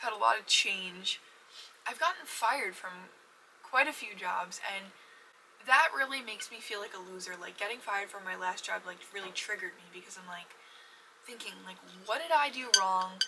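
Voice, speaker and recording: Over noticeable background noise, the speaker goes at a moderate pace with lively intonation, big swings in loudness, and long, frequent pauses. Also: woman, medium pitch for a woman. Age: 20s. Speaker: podcast host. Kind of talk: casual chat. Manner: halting.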